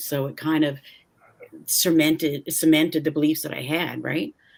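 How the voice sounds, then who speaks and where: A woman with a very deep, low pitch, a slight Canadian accent and a moderate pace. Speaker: ex-pastor podcast host. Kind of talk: casual chat.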